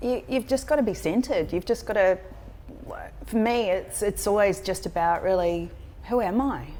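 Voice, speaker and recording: Speaking in a New Zealand accent, a woman keeps a moderate pace, medium pitch, ordinary pitch variation and very even loudness, with long, frequent pauses. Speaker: leadership coach. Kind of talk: interview.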